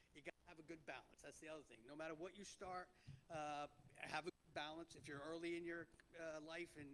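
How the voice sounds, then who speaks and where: Talking at a fairly quick pace with a New Jersey accent, a man keeps a monotone, flat intonation at a fairly high pitch. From New Jersey (Clifton). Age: 50s. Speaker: restaurant entrepreneur. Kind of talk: panel talk to an audience. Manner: loud; halting.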